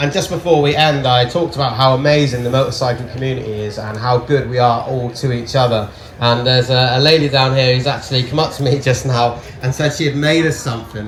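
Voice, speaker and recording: Speaking at a very fast pace, a man with a medium pitch keeps a fairly even intonation amid audible room echo and noticeable background noise. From Devon, England. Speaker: motorcycle travel vlogger. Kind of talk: stage talk. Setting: stage with audience.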